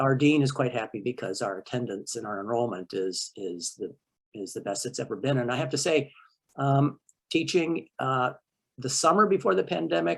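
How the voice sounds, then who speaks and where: A man's medium-pitched voice with very wide pitch swings. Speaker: college instructor. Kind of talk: panel meeting remarks. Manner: fast; halting with fillers.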